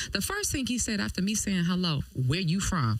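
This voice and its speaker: With a slight East Coast accent, a woman talks at a very fast pace in an animated tone. Her pitch is fairly low, and there is noticeable background noise. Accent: East Coast tinge. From Detroit. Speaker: radio host. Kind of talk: radio interview.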